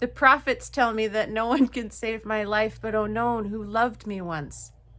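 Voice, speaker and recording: A woman puts on a hoarse character voice, fairly high in pitch, speaking at a moderate pace with ordinary pitch variation. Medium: read story.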